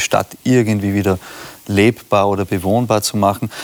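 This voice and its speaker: A man with a plain, everyday voice speaks at a moderate pace, fairly low in pitch with fairly even intonation. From Austria. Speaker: pastor, church leader. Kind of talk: casual discussion.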